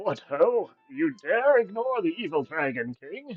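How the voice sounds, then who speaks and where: A man's put-on character voice, high in pitch and fairly slow, with faint music in the background. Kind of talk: archaic, dramatic. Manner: menacing, theatrical.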